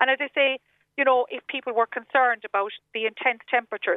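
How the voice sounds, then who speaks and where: A woman with a Cork accent talks at a very fast pace in a high pitch with fairly even intonation. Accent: Cork Irish. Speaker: travel agent. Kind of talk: radio interview.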